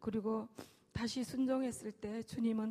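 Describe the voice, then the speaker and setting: The woman's pitch is fairly high. She speaks at a fairly slow pace. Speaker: church deaconess. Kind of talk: testimony.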